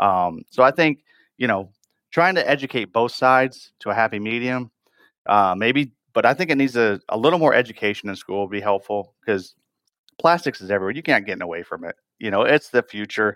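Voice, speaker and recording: A man with an American accent speaks at a fairly quick pace in a medium pitch, his tone bright and sharp and his intonation lively, on a very clean recording with a silent background. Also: dry, close sound with no echo. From northern Michigan, rural. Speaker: plastics manufacturing executive. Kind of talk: interview conversation.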